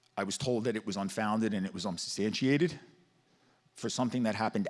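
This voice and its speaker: A man with a Staten Island accent, fairly low pitch and ordinary pitch variation, on a very clean recording with a silent background. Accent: Staten Island New York. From Staten Island, New York City. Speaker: teacher and football coach speaking at public comment. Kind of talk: public comment testimony. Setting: school board meeting with audience. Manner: halting, emotional.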